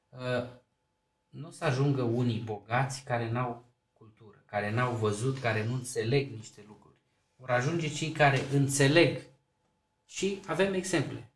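A man with a medium pitch and a somewhat breathy voice talks at a fairly slow pace, with ordinary pitch variation and big swings in loudness. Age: 40s. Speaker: mayor. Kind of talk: casual interview.

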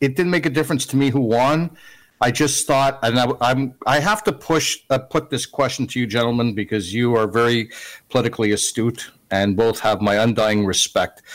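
With a plain, everyday voice, a man speaks at a medium pitch and moderate pace, his loudness very even. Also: ordinary pitch variation. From Canada. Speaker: radio commentator. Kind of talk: casual chat.

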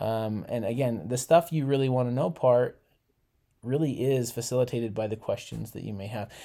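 This man has an American accent and a dark, mellow tone. He speaks at a moderate pace and medium pitch, with ordinary pitch variation. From Utah. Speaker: junior high teacher. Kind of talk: casual chat.

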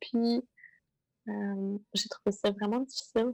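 A woman with a Quebec accent and a fairly high pitch speaks in a monotone, flat intonation at a very slow pace. The sound is dry and close with no echo. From Quebec, Montreal South Shore. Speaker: adventure filmmaker and explorer. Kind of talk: casual interview.

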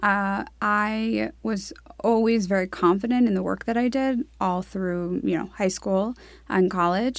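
A woman with an American accent uses a normal speaking voice at a medium pitch and a fairly slow pace. Her intonation is lively, and the recording is very clean with a silent background. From New York City, Upper East Side. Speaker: real estate marketing executive. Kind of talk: interview.

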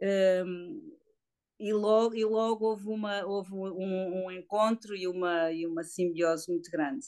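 Very slowly, a woman speaks in a medium pitch. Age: 50s. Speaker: woman living with HIV. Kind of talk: testimony. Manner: halting.

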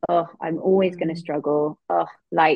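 A woman speaks with an English accent. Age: 30s. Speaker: EFT and eating disorder practitioner. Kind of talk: casual interview chat.

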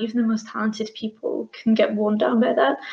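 A woman speaks with a British accent. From UK; Bangladeshi heritage family. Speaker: business owner. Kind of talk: casual interview chat.

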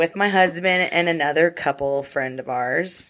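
Her pitch is on the low side for a woman, varying normally as she talks at a medium speed. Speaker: podcast co-host. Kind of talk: casual chat. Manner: animated, talkative.

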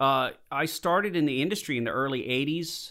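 In a very clean recording with a silent background, a man with an American accent speaks at a moderate pace, his tone bright and sharp and his pitch fairly high. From Southern California (Lancaster). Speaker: model maker and visual effects artist. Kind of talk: casual interview. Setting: conference room.

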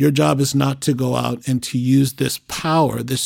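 A man with an ordinary speaking voice speaks at a medium pitch and a fairly slow pace. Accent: American. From Boston, Massachusetts. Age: 50s. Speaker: police officer and church elder. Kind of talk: casual chat.

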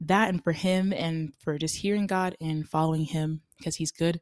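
On a very clean recording with a silent background, a woman with an American accent speaks at a moderate pace, her pitch fairly low, in a dry, close sound with no echo. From Nigerian American, family from Delta State. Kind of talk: casual devotional monologue. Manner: hesitant, with fillers and laughs.

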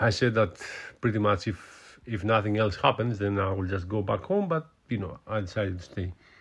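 A man's somewhat breathy, fairly low-pitched voice with a Greek accent, at a moderate pace with ordinary pitch variation. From Greece. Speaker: podcast host. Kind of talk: casual solo monologue. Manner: halting, many fillers and repetitions.

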